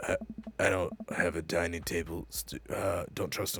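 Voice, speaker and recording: A man puts on a raspy character voice, pitched very deep and low. He speaks at a moderate pace. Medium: game stream.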